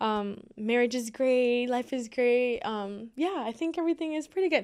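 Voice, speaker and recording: A high-pitched woman with a Miami accent, lively intonation and a moderate pace. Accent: Miami American English. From Miami, Florida. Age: 20s. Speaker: social media creator. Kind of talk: casual chat.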